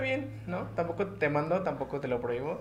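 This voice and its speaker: A man's voice carries audible room echo. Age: 20s. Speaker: guest in a polyamorous relationship. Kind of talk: casual chat.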